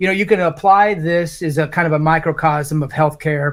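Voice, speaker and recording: A man with an American accent and a normal speaking voice, fairly high in pitch, with ordinary pitch variation at a moderate pace. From Indiana, Morgan County. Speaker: congressional candidate. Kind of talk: live town hall Q&A.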